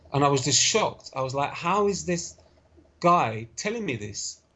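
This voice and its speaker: This man's voice sits at a fairly high pitch with very wide pitch swings. It sounds somewhat breathy. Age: young. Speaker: interview guest sharing health story. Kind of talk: podcast interview, personal story.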